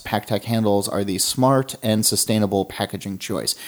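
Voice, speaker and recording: In a very clean recording with a silent background, a man with an ordinary speaking voice speaks at a fairly quick pace, his fairly low pitch showing ordinary variation. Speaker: podcast host. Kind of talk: interview, with read ad copy. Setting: in person.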